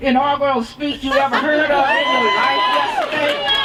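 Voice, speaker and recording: Over crowd noise in the background, a woman projects a raised voice at a high pitch and a moderate pace. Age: 70s. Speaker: women's health activist. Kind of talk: rally speech. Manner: emphatic.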